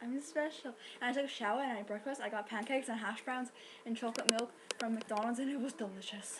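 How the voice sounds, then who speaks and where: Over noticeable background noise, a woman talks very fast in a high pitch with an animated tone. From England. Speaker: vlogger. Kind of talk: casual vlog. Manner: hyper, animated.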